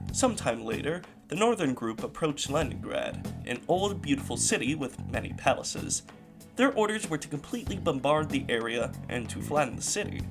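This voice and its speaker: Music in the background beneath a man's speech, its pitch swinging very widely. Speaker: history video narrator. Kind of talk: history narration with humorous asides.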